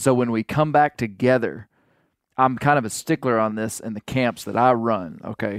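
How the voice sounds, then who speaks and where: A man with an unremarkable speaking voice talks at a medium pitch and a moderate pace, with ordinary pitch variation, in a very clean recording with a silent background. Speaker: hunter and houndsman. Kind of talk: casual chat.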